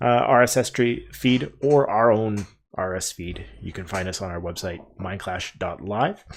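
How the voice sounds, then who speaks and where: With a Canadian accent, a man talks at a fairly slow pace in a plain, everyday voice, fairly low in pitch with ordinary pitch variation and big swings in loudness, on a very clean recording with a silent background. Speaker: podcast host. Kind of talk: live-streamed podcast outro. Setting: live Twitch stream.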